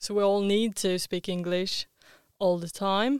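A woman speaks in an ordinary speaking voice at medium pitch and a fairly slow pace. Her intonation stays fairly even on a very clean recording with a silent background. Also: dry, close sound with no echo. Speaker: student podcast host. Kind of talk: casual chat.

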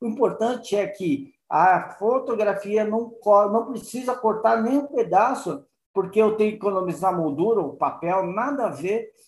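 This man talks at a moderate pace. His voice sits at a high pitch. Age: 50s. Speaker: online art print shop owner. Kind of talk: interview. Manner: halting, with repeated words.

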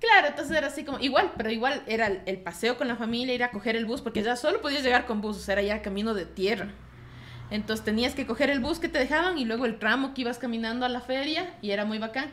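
A woman speaks at a very fast pace in a high voice. Her pitch varies in an ordinary way. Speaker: bookstore co-host. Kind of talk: casual chat. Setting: bookstore studio.

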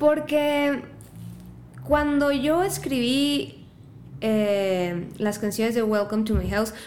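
Pitched fairly high, a woman speaks very slowly with lively intonation and long, frequent pauses, her voice carrying audible room echo. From Mexico, La Piedad, Michoacán. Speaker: singer-songwriter. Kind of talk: casual chat.

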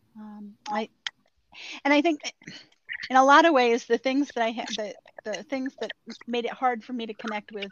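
Her pitch fairly high, a woman speaks at a fairly slow pace with ordinary pitch variation. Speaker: podcast co-host. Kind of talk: casual chat. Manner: halting.

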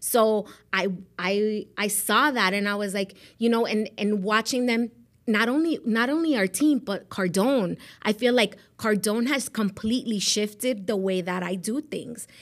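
The recording is very clean, with a silent background. A woman with an American accent speaks at a fairly slow pace in a fairly high voice with ordinary pitch variation. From South Florida (Miami). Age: 40s. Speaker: real estate agent. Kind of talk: interview.

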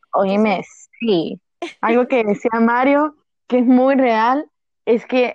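A woman's high pitch at a very slow pace, fairly even intonation, and a dry, close sound with no echo. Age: 20s. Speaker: university student. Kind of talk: casual chat.

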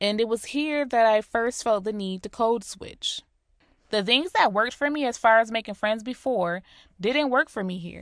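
In a very clean recording with a silent background and a dry, close sound with no echo, a woman with an American accent speaks at a moderate pace in a fairly high voice with ordinary pitch variation. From US Northeast (Rochester, New York), later South Florida. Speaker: podcast host. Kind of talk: solo podcast monologue. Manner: clear.

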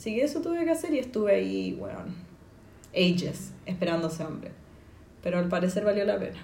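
Noticeable background noise and audible room echo accompany a woman who talks at a fairly quick pace with long, frequent pauses. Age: 20s. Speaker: journalism graduate, podcast guest. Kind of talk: casual chat.

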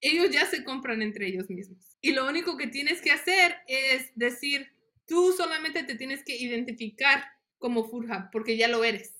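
Her voice raised and projected, a woman speaks at a high pitch with a bright, sharp tone and lively intonation. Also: moderate pace. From Mexico, Guanajuato, raised in US. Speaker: nonprofit worker for farmers. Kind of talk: interview.

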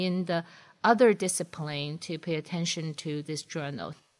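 Woman in a Chinese accent, moderate pace, very clean recording, silent background. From China, Shanghai. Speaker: engineering professor. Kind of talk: interview.

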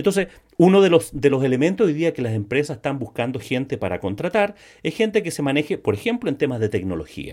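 There is vocal fry in this man's voice. His pitch swings very widely. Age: 60s. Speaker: sales podcast host. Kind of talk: solo podcast monologue. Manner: frequent word repetitions and fillers.

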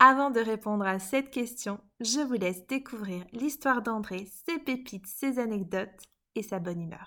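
In a very clean recording with a silent background, a woman with a fairly high pitch and a bright, sharp tone speaks at a fairly slow pace with lively intonation. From Belgium, Liège. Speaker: podcast host and coach. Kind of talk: podcast narration.

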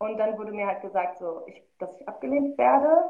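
At a moderate pace, a woman talks in a fairly high voice with lively intonation. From Germany, Marl (North Rhine-Westphalia). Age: 20s. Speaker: filmmaker and curator. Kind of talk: casual interview.

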